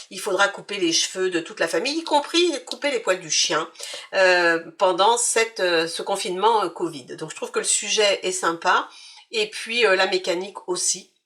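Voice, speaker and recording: A woman's medium-pitched voice, bright and sharp in tone, at a moderate pace with ordinary pitch variation. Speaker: board game youtuber. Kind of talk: game playthrough tutorial. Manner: hesitant, many fillers; casual, relaxed.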